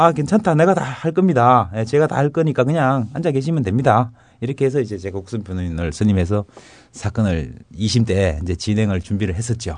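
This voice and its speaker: A man of medium pitch at a fairly quick pace, with very wide pitch swings. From North Gyeongsang, South Korea. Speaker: former government official, whistleblower. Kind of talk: interview.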